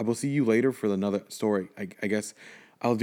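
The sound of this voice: An unforced reading voice comes through with ordinary pitch variation.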